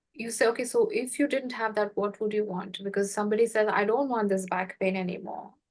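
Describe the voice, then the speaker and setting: With a non-native accent, a woman talks at a fairly quick pace in a fairly high voice and with fairly even intonation. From India. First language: not English. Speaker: podcast host and healing facilitator. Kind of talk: casual conversation.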